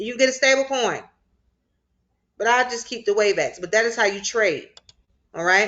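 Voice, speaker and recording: A woman's bright, sharp tone at a fairly high pitch and moderate pace, with long, frequent pauses against a quiet background. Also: ordinary pitch variation. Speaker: crypto finance instructor. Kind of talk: online class tutorial. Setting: video call with screen share.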